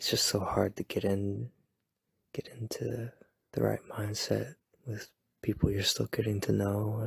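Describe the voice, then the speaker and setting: A soft-spoken man talks with long, frequent pauses. The sound is dry and close, with no echo. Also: fairly slow pace. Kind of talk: ASMR boyfriend roleplay. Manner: soft-spoken, rambling.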